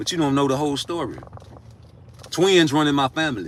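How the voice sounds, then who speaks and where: A man races through his words very fast while noticeable noise sounds behind him. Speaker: livestreamer, father seeking custody. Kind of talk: casual livestream monologue. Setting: in a car. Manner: loud.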